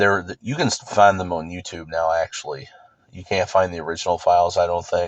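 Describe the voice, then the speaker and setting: A man with a very deep, low pitch talks at a fairly quick pace, his intonation fairly even but with big swings in loudness. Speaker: youtuber. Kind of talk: casual monologue vlog. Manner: monotone.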